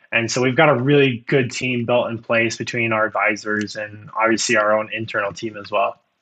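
The speaker has a Midwestern American accent and fairly even intonation. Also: man. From US Midwest, Iowa. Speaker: snack company founder and CEO. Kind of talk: business podcast interview.

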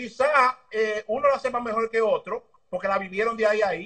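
In a Dominican accent, a man speaks at a high pitch. His pace is fairly quick and his intonation fairly even. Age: 30s. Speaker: motorbike racing mechanic. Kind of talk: interview.

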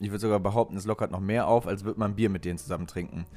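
Recorded very cleanly with total silence behind him, a man's pitch moves in an ordinary way. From western Germany, Lower Rhine (Krefeld area). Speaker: podcast co-host. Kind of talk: casual chat.

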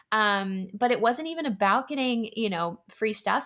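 On a very clean recording with a silent background, a woman speaks in a Californian accent with ordinary pitch variation. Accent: Californian American English. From US West Coast, San Diego, California. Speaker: food company founder. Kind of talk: interview.

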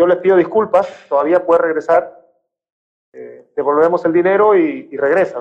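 This man talks at a fairly slow pace with a high pitch. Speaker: former professional footballer. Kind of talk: interview.

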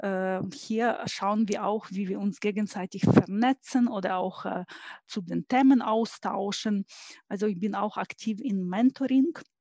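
At a very slow pace, a woman of medium pitch speaks in a dark, mellow, somewhat breathy tone with ordinary pitch variation, in a dry, close sound with no echo. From Ukraine. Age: 40s. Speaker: engineer and IT consultant. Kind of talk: interview.

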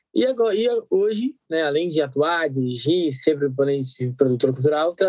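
Recorded with a dry, close sound and no echo, a man talks in a normal speaking voice with ordinary pitch variation at a moderate pace. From Brazil, Guarulhos (São Paulo area). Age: 20s. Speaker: actor and theatre director. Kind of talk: casual interview.

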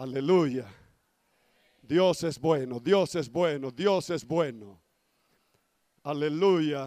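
Very slow and broken by long, frequent pauses, a man's fairly high voice has a dark, mellow tone and ordinary pitch variation. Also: very clean recording, silent background. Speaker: pastor. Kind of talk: sermon. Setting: church.

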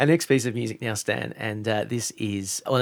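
A man speaks with lively intonation and a fairly low pitch. There is vocal fry in his voice. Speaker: radio host interviewer. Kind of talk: radio interview. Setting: studio.

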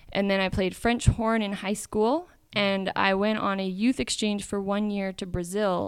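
A woman with a Canadian accent has a plain, everyday voice at medium pitch. She talks at a moderate pace on a very clean recording with a silent background. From Canada. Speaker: musician. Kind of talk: casual chat. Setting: coffee shop.

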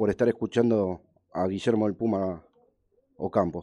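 A man's dark, mellow tone at a fairly slow pace, dry and close with no echo. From Argentina, Buenos Aires area. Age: 40s. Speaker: radio sports show host. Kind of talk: live radio interview.

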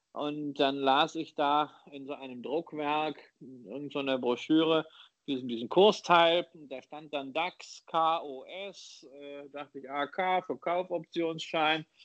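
A man's fairly high voice, very slow in pace, with fairly even intonation and big swings in loudness. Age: 40s. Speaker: investor and author. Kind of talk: interview.

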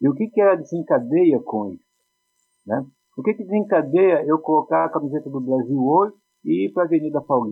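Lively in intonation, a man with a fairly high pitch speaks at a fairly quick pace. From Brazil, Poá (São Paulo state). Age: 50s. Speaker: philosophy teacher. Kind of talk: casual chat.

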